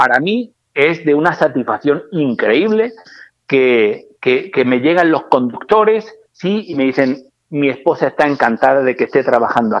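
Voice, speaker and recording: Speaking with a Murcian accent, a man uses a fairly high pitch and lively intonation. His pace is fairly slow and his loudness very even. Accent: Spanish (Murcia). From Spain, Murcia. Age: 50s. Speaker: trucking company director. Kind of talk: interview. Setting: phone call.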